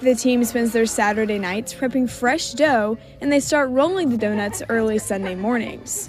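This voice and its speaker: A woman speaks at a fairly high pitch and a moderate pace, with ordinary pitch variation and hardly any pauses, against noticeable background noise. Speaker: student sports reporter. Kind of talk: TV news package narration.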